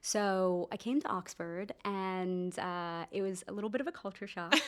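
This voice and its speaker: A woman speaks in a normal speaking voice with an American accent. Her pitch is medium, with ordinary variation, at a moderate pace. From US, New Jersey. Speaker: doctor and startup founder. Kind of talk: podcast interview.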